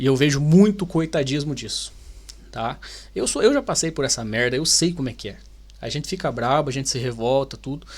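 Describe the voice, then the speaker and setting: With a Brazilian accent and an animated tone, a man speaks in a fairly high, somewhat breathy voice with ordinary pitch variation, on a very clean recording with a silent background. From Brazil, Paraná. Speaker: YouTuber, Brazilian immigrant. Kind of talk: video reaction commentary. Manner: animated, informal.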